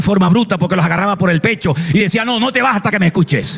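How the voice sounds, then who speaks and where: Over music in the background, a man talks in an animated tone at a very fast pace with ordinary pitch variation. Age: 60s. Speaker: pastor. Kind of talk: sermon.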